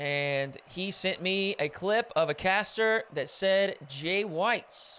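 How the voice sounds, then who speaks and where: Raised and projected, a man's high voice has a bright, sharp tone and ordinary pitch variation. He talks at a very slow pace with hardly any pauses. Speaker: esports caster. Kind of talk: casual chat; live commentary. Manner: animated.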